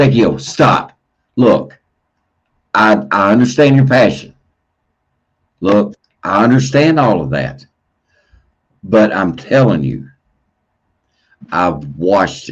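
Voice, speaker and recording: A man's fairly low voice, marked by vocal fry, moves at a very slow pace with long, frequent pauses and very wide pitch swings. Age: 60s. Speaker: livestream host. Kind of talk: heated debate. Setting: livestream. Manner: repetitive, stammering.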